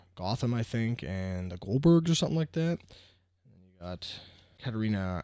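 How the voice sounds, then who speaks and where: On a very clean recording with a silent background, a soft-spoken man with a fairly low pitch talks at a moderate pace with lively intonation. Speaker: sports card collector youtuber. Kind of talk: casual card-opening commentary. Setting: at home, kids sleeping. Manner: quiet, soft-spoken.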